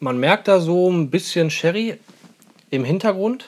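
A man speaks at a high pitch. His pitch varies in an ordinary way. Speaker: whisky reviewer. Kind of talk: casual vlog chat. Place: home room. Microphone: lapel.

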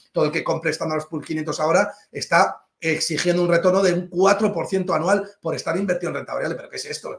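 A man talks at a fairly quick pace, with hardly any pauses. His high voice stays monotone and flat. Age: 40s. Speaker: finance professor and private banker. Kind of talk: interview.

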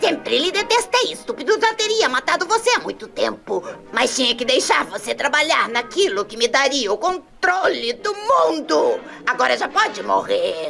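Clear music plays in the background as a high-pitched voice speaks at a moderate pace. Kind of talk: melodramatic villain dubbing. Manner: gloating, menacing, commanding.

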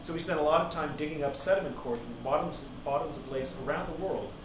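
Talking at a very fast pace with ordinary pitch variation, a man is heard amid noticeable background noise and audible room echo. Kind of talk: lecture. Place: classroom. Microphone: camera far.

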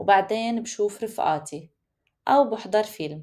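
In a Lebanese accent, a woman speaks at a medium pitch with a dark, mellow tone and lively intonation. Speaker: Arabic teacher. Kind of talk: language lesson text reading. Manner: clear, slow.

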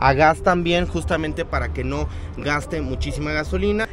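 Over clear background music, a man talks at a moderate pace, and the sound is dry with no echo. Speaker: car vlogger. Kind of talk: casual vlog chat. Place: market. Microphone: phone near.

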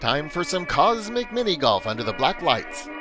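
Over music in the background, the voice has an upbeat, playful tone and moves at a fairly slow pace. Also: man. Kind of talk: old-style newsreel narration.

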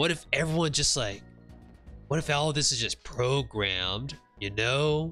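A man's put-on character voice, drawling and medium in pitch, with faint music in the background. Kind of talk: comic overacting. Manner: slurring surfer-bro drawl, filler-heavy.

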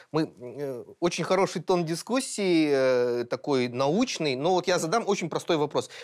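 A normal speaking voice, a man's fairly high pitch comes with lively intonation at a fairly slow pace over a quiet background. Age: 30s. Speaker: podcast co-host, editor-in-chief; podcast co-host. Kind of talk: panel discussion. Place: studio. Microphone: lapel.

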